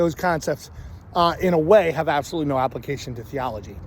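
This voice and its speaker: Speaking very fast, a man with an American accent has a fairly high pitch. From Philadelphia area, US. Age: 50s. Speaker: vlogger. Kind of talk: personal monologue. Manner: halting.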